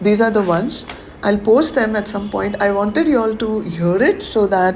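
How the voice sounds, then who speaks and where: Over noticeable background noise, a woman speaks at a medium pitch with ordinary variation. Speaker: spiritual teacher leading a webinar. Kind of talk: webinar talk. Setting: online webinar.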